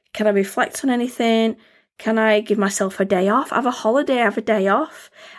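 A woman with an English accent speaks at a very fast pace with very even loudness. Her fairly high pitch shows ordinary variation, in a very clean recording with a silent background. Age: 40s. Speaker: podcast host. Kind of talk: casual monologue.

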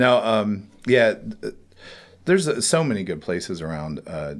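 Speaking with an American accent, a man keeps to a fairly slow pace. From West Virginia. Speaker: ghost tour operator. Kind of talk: casual interview. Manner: halting, many fillers.

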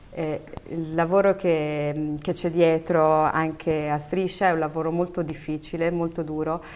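At a fairly slow pace, a woman speaks in a flat monotone with a fairly low pitch. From Morocco, Berber family, raised in Italy from about age 9. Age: 30s. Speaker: TV presenter and actress. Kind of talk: interview. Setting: studio.

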